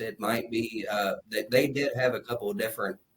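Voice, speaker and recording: With an Appalachian accent, a man talks at a moderate pace in a somewhat breathy voice of medium pitch. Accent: Appalachian Southern dialect. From Kentucky, Appalachia. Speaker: co-host of a Bible discussion show. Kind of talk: casual discussion. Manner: halting, many fillers.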